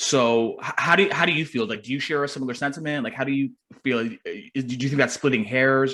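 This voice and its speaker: This is an ordinary speaking voice from a man at a medium pitch. He speaks at a fairly quick pace. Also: ordinary pitch variation. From Canada. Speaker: podcast host. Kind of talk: casual chat.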